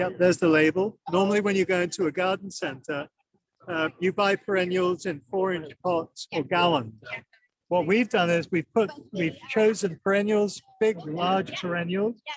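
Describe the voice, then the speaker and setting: Recorded dry and close with no echo, the speech moves at a moderate pace with ordinary pitch variation. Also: man, high pitch for a man. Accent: English. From England. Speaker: plant industry representative. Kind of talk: trade show interview. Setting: trade show floor.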